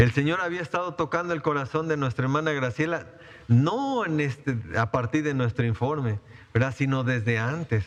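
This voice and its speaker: A fairly high male voice with ordinary pitch variation at a moderate pace. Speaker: pastor. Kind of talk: sermon. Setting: church. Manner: halting, many fillers.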